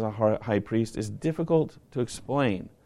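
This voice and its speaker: Talking at a moderate pace, a speaker with an American accent has a plain, everyday voice. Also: man. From northern US, near Canada. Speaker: pastor. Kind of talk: sermon.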